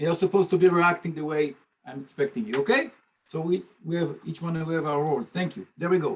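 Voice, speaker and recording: A man's high voice in a non-native accent, with ordinary pitch variation, at a very fast pace. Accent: noticeable foreign. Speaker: language teacher. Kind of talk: webinar presentation. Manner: playful, joking.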